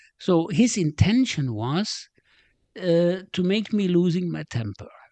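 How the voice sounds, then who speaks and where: A man with a German accent speaks at a fairly slow pace, his high voice making very wide pitch swings. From Germany. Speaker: retired business executive. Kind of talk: casual chat. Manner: halting.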